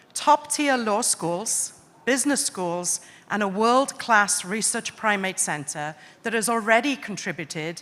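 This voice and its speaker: The woman's intonation is lively. The recording is very clean and the background silent. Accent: Welsh. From Wales. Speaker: panel moderator, academic. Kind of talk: panel moderation.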